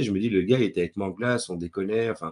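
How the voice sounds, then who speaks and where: Someone speaks at a very fast pace with ordinary pitch variation. The background is quiet. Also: man. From Belgium, Brussels. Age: 40s. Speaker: playwright and director. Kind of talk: interview talk. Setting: webinar video call. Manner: hesitant with fillers and repetitions.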